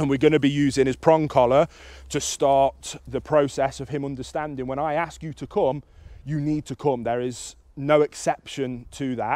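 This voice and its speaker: A man with a dark, mellow tone and monotone, flat intonation, dry with no echo, against a quiet background. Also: moderate pace. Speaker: dog trainer. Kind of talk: tutorial. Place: open country.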